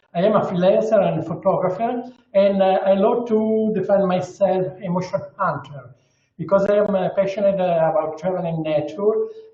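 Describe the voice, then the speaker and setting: Audible room echo surrounds a man whose high-pitched voice keeps a fairly even intonation. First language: Italian. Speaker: underwater photographer. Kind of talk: webinar presentation. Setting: video call. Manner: slow; halting.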